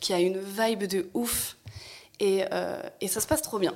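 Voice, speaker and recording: This woman has an unremarkable speaking voice, a medium pitch and ordinary pitch variation. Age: 30s. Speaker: stylist and costume designer, content creator. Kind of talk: casual chat.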